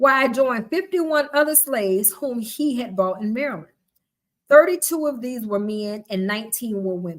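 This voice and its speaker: Her voice sits fairly high, with very wide pitch swings. This woman, in a Southern US accent, talks at a fairly quick pace. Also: big swings in loudness. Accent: Southern twang. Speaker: live-stream host and book reader. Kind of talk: reading aloud. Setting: live stream.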